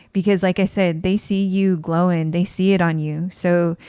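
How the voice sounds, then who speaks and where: Very slowly, a woman speaks quietly at a fairly low pitch, in a monotone with flat intonation. The recording is very clean, with a silent background. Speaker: tarot reader. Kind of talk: tarot reading monologue. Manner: getting quieter.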